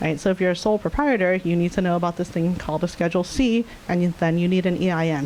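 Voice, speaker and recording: A woman at a very fast pace and a fairly low pitch, with ordinary pitch variation and noticeable background noise. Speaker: data science leader. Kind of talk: conference talk.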